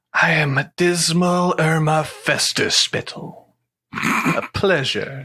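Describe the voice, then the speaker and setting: A put-on character voice delivers the lines very slowly. Its pitch stays in the middle. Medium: actual play.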